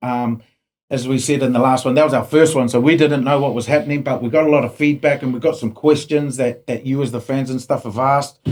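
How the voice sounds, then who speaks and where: In a flat, monotone delivery, a man with a medium pitch speaks at a very fast pace. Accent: New Zealand. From New Zealand. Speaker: podcast host. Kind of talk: casual chat.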